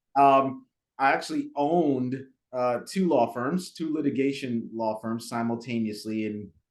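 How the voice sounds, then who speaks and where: Against a quiet background, a man with a slight Jamaican accent talks at a moderate pace. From Jamaica, then Brooklyn from age five or six. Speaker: attorney and business broker. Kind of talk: podcast interview. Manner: halting, many fillers and repeats.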